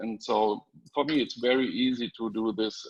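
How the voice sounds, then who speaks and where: With a German accent, a man of medium pitch talks at a fairly slow pace and with fairly even intonation. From Germany. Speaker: panelist. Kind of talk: testimony. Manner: halting, many fillers.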